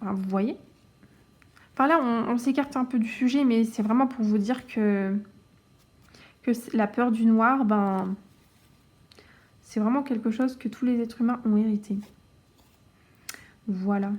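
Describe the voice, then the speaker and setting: The speaker goes at a fairly slow pace with fairly even intonation, long, frequent pauses and big swings in loudness. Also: woman, fairly high pitch for a woman. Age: 20s. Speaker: cross-stitch youtuber. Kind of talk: casual chat. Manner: halting.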